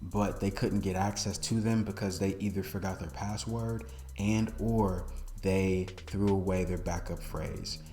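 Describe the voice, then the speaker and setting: With music in the background and audible room echo, a man with a very deep, low voice talks at a fairly slow pace. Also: ordinary pitch variation. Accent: American. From US Midwest, Milwaukee, Wisconsin. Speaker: online course instructor. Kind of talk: tutorial.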